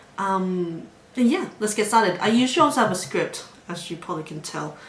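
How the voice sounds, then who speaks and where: A woman talks at a fairly quick pace in a medium pitch with lively intonation and big swings in loudness, with audible room echo and noticeable background noise. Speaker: psychology student vlogger. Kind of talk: casual educational vlog talk. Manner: fast.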